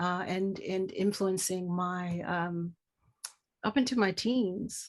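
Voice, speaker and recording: Against a quiet background, a woman with a medium pitch speaks at a fairly slow pace. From Washington DC area (Arlington, Virginia). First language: Spanish. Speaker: artist. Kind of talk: interview. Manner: halting.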